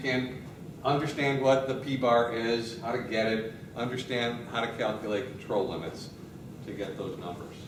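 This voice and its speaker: A man talks amid noticeable background noise, with room echo clearly audible. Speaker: university professor. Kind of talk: lecture. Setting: classroom.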